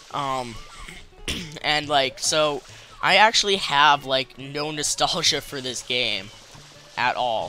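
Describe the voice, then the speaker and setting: Music in the background behind a man's fairly high voice, very slow, with ordinary pitch variation and long, frequent pauses. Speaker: gaming commentator. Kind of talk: let's play post commentary. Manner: halting, stammering; casual, swears.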